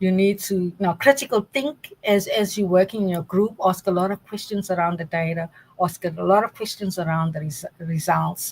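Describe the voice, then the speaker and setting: Hardly pausing, a somewhat breathy woman with a South African accent keeps a moderate pace at a medium pitch with ordinary pitch variation. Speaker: data science academic. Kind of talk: interview.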